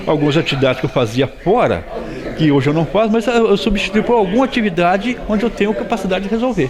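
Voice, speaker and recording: A man with a high voice and lively intonation at a very fast pace, loudness very even, with audible room echo and noticeable background noise. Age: 60s. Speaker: farmer, accident survivor. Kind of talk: news interview.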